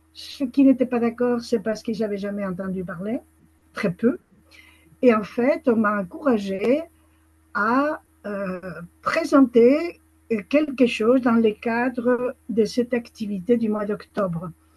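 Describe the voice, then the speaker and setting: This woman speaks at a very slow pace, with long, frequent pauses. Her pitch is fairly high, with ordinary variation. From Spain. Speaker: association founder. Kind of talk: webinar participant remarks. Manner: hesitant.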